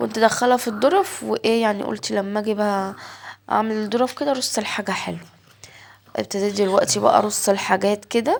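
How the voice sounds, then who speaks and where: Speaking at a moderate pace in an Egyptian accent, a woman keeps a medium pitch and a fairly even intonation. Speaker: home vlogger. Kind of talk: casual vlog narration. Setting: home kitchen.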